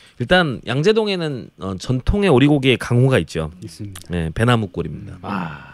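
Over noticeable background noise, a man speaks at a medium pitch and moderate pace, with very wide pitch swings and big swings in loudness. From Jeolla province, South Korea. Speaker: food columnist. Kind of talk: casual chat.

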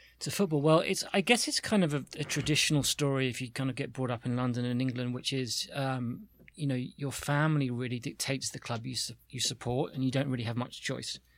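In a British accent, a man speaks at a fairly quick pace with hardly any pauses, at a medium pitch with ordinary variation, on a very clean recording with a silent background. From UK. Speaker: media executive. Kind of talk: casual chat.

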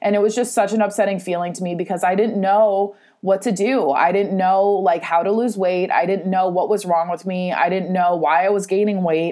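In an American accent, a woman talks at a fairly quick pace with hardly any pauses, a medium pitch, a dark, mellow tone and fairly even intonation. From California, San Francisco Bay Area. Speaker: podcast host and self-love coach. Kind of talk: solo podcast monologue. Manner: casual, laughing often.

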